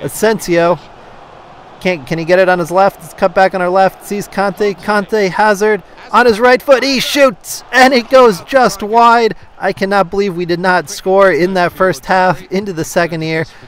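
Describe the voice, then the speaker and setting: A high-pitched male voice at a moderate pace, ordinary pitch variation, noticeable background noise behind it. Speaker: gaming YouTuber. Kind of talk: live play-by-play commentary over FIFA gameplay. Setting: video game recording voiceover. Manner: upbeat, friendly, conversational.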